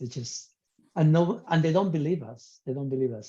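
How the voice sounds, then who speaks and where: A man speaks with a fairly high pitch and ordinary pitch variation. His tone is dark and mellow, and somewhat breathy. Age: 70s. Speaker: podcast guest sharing health story. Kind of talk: interview.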